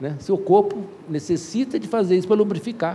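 The man's voice sits high in pitch. His tone is animated. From Brazil. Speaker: educator and anthropologist. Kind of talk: interview storytelling.

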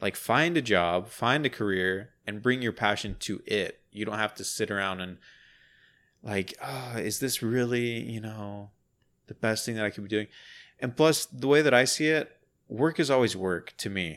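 A man talks in a plain, everyday voice at a moderate pace and fairly low pitch, on a very clean recording with a silent background. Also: ordinary pitch variation. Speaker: podcast co-host. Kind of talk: casual chat.

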